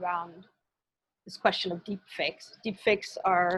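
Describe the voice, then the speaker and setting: In a flat, monotone delivery, a woman speaks at a medium pitch. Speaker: media researcher and lecturer. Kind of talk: lecture. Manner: fast.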